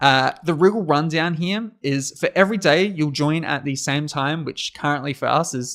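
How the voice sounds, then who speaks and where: A man with a strong Australian accent speaks at a moderate pace and fairly high pitch. His ordinary pitch variation comes through on a very clean recording with a silent background. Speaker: conference host. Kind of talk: livestream hosting. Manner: energetic, animated.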